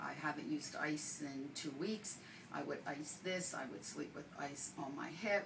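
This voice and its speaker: A woman's very deep, low voice at a fairly slow pace with ordinary pitch variation, amid noticeable background noise and audible room echo. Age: 60s. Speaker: patient giving testimonial, nurse. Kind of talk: testimony.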